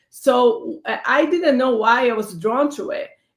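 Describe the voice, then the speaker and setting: The speech carries a Brazilian accent and lively intonation. It moves at a fairly slow pace. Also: woman. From Brazil, São Paulo. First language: Portuguese. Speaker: panelist, advocate for immigrants and women. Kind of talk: panel discussion. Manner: halting, many fillers.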